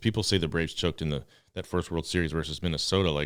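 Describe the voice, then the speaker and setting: This man has a very deep, low pitch. He speaks in an animated tone. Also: very clean recording, silent background. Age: 40s. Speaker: sports podcast host. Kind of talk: casual chat.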